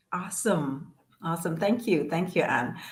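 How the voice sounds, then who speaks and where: Lively, somewhat breathy speech from a woman, with audible room echo. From Indonesia. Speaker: business coach. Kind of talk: live stream interview.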